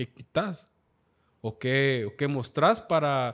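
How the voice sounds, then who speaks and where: In a very clean recording with a silent background, a man speaks at a very slow pace with ordinary pitch variation. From Guatemala, Esquipulas. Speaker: photographer. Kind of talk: casual chat.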